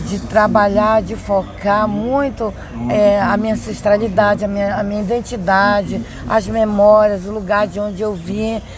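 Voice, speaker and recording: Amid noticeable background noise and audible room echo, a woman with a medium-pitched voice talks at a fairly slow pace. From Amapá, northern Brazil. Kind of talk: interview testimony.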